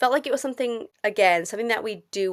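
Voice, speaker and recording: Her intonation lively, a woman speaks. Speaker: trainee maths teacher, podcast co-host. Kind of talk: casual podcast conversation. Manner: fast.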